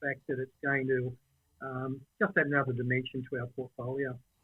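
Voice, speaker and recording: A man with an Australian accent, fairly quick pace and monotone, flat intonation. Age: 60s. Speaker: property investor and franchise owner. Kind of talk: casual interview chat.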